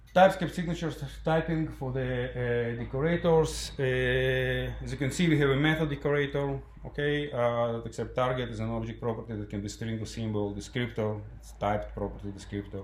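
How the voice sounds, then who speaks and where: With a non-native accent, a man talks at a fairly quick pace. Audible room echo and noticeable background noise are present. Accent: foreign, non-native English. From Ukraine. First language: Russian. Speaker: software developer, conference speaker. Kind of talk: tech conference talk. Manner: halting, many fillers.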